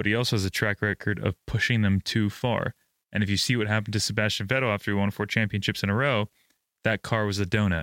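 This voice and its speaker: Very fast and flat in a monotone, a man talks at a fairly low pitch, the sound dry and close with no echo on a very clean recording with a silent background. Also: very even loudness. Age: 20s. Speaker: F1 podcast co-host. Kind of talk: casual chat.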